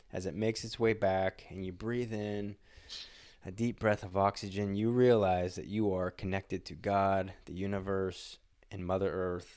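A man with an unremarkable speaking voice, fairly low in pitch, with fairly even intonation at a fairly slow pace, in a very clean recording with a silent background. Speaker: podcast host. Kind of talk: casual interview chat.

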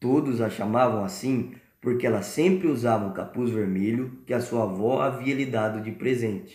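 This is an ordinary speaking voice, and it has ordinary pitch variation. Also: man, medium pitch for a man. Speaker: storyteller podcast host. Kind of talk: bedtime story narration for children, playing the wolf. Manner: warm, gentle, unhurried storyteller tone with play-acted character voices.

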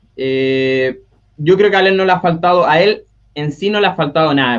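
Lively intonation runs through a man's speech at a moderate pace. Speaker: NFL fan panelist. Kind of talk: casual chat.

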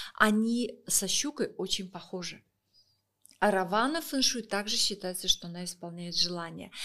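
Bright and sharp in tone, a woman speaks at a moderate pace with ordinary pitch variation. Her loudness swings widely. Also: medium pitch for a woman, very clean recording, silent background. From Russia, Saint Petersburg. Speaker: feng shui expert and author. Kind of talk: podcast interview.

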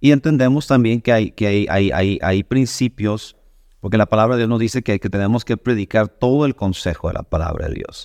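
A man at medium pitch and a fairly quick pace, with ordinary pitch variation, a dry, close sound with no echo, and a quiet background. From Mexico, Sonora. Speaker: pastor. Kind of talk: casual chat. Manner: halting, many fillers and repetitions.

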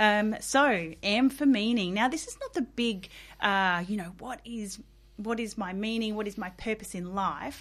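On a very clean recording with a silent background, a woman with an Australian accent speaks fairly slowly at a fairly high pitch, with ordinary pitch variation and big swings in loudness. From South Australia outback. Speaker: workplace well-being consultant. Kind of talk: interview. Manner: hesitant, many fillers.

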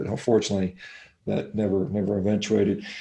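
Somewhat breathy, a man's voice races along at a very fast pace. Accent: American. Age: 50s. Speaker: physician and athlete. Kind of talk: interview.

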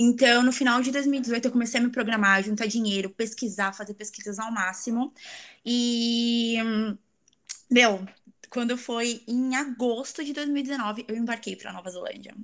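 An ordinary speaking voice from a woman, fairly high in pitch, fairly even in intonation, at a fairly slow pace, with big swings in loudness. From Brazil, São Paulo city. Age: 20s. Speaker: exchange traveler, tourism graduate. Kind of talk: casual interview chat.

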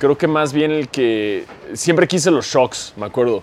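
A man with a Mexican accent talks at a moderate pace with lively intonation over noticeable background noise. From Mexico. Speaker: basketball podcaster. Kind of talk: casual chat.

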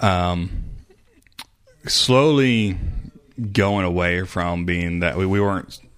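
Speaking very slowly with long, frequent pauses, a man with a very deep, low voice shows ordinary pitch variation amid audible room echo. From Arkansas. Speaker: former cult member. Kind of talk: interview. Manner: halting.

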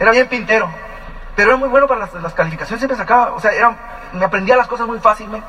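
A man's raised, projected voice at an extremely high pitch, very fast pace, and noticeable background noise. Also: ordinary pitch variation. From Mexico, Ensenada, Baja California. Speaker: business couple giving testimony. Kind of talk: testimony.

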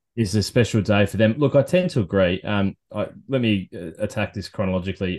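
Against a quiet background, a man with an Australian accent talks at a fairly quick pace with hardly any pauses, his fairly low pitch varying in an ordinary way. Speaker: golf podcast host. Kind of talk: casual chat. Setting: home studio in a shed.

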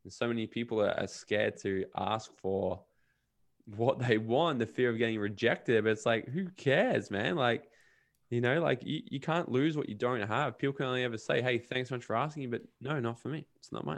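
At a fairly quick pace, a man with an Australian accent speaks at medium pitch with ordinary pitch variation. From Australia (Brisbane and Gold Coast, Queensland). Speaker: podcast host and self-development coach. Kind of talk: casual interview chat.

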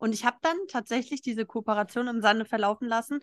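A woman's fairly high, fairly quick delivery in a normal speaking voice, with a dry, close sound, no echo and a quiet background. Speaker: podcast host. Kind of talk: casual chat. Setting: live recording in a restaurant in Berlin. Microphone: not studio sound quality.

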